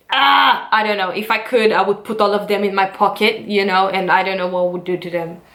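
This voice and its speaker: An animated woman with a non-native accent. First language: not English. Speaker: dancer and vlogger. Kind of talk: vlog monologue.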